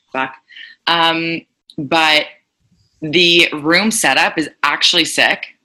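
A woman with a Montreal accent, very slow, with long, frequent pauses, a bright, sharp tone and fairly even intonation. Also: fairly low pitch for a woman. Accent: Montreal anglophone Canadian English. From Montreal, West Island (Pierrefonds), Quebec. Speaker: spin instructor. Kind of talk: casual interview.

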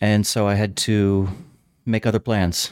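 With no echo at all, the close, dry sound sits on a very clean recording over total silence. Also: man. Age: 30s. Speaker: philosophy professor. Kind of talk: casual chat.

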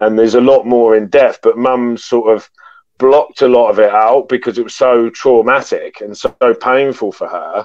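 A man with a British accent, medium pitch, fairly even intonation and a moderate pace. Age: 40s. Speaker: podcast guest sharing trauma story. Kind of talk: personal testimony in interview.

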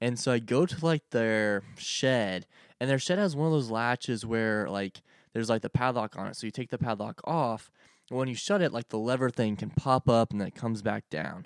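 A man's unremarkable speaking voice at medium pitch, with an American accent, ordinary pitch variation and a moderate pace, in a very clean recording with a silent background and a dry, close sound with no echo. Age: 20s. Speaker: guest, state government worker. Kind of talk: casual chat.

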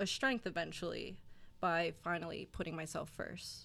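A woman with a New Jersey accent talks at a fairly low pitch with vocal fry on a very clean recording with a silent background. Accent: New Jersey American. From South Jersey, US. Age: 20s. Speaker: gym client, recent college graduate. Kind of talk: casual interview chat.

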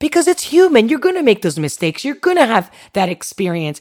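A fairly quick, animated tone with vocal fry. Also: woman. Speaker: podcast host. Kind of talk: motivational talk with guided visualization. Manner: animated, direct.

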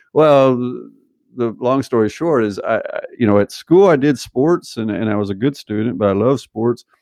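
A man's ordinary speaking voice at medium pitch, with an American accent, at a moderate pace. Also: ordinary pitch variation. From US South (Arkansas). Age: 50s. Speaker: sports scientist. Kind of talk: casual interview.

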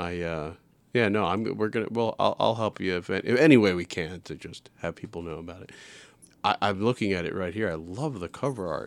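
In a normal speaking voice with an American accent, a man talks at a fairly quick pace with fairly low pitch, ordinary pitch variation and big swings in loudness, on a very clean recording with a silent background. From New York City. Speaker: podcast host. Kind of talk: casual interview chat.

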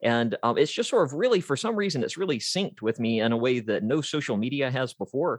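Over a quiet background, a man with an American accent talks at a very fast pace with hardly any pauses, a medium pitch and lively intonation, in a dry, close sound with no echo. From Georgia, US South. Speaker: author and voiceover artist. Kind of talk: interview. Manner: halting.

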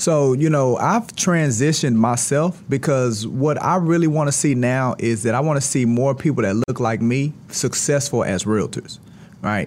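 A man with an American accent speaks at a moderate pace and medium pitch. His pitch varies in an ordinary way and his loudness stays very even. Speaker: real estate firm CEO. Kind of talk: casual interview. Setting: studio. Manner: animated.

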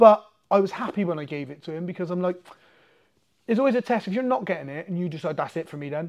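Against a quiet background, a man with an English accent talks at a very fast pace in a high pitch, his intonation lively. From England. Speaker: martial arts coach and MMA fighter. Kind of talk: casual chat. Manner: talkative.

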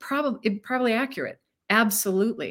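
With an American accent, a woman talks at a moderate pace. Her intonation is lively. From Arizona, US. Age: 60s. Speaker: energy healer. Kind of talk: interview. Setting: live stream video call. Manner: animated.

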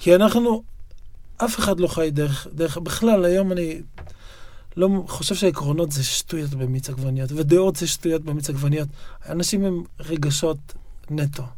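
A man talks at a fairly high pitch in a dark, mellow tone. His pace is moderate, with long, frequent pauses. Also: ordinary pitch variation. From Israel, Yokneam. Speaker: writer and poet. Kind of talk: interview conversation. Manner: halting, frequent repetitions and fillers.

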